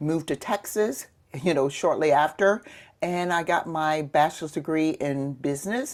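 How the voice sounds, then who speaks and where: A woman speaks with a Southern US accent and a very deep, low pitch. The recording is very clean, with a silent background. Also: ordinary pitch variation, moderate pace. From US South, Mississippi Gulf Coast. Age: 60s. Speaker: retired police sergeant. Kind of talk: interview.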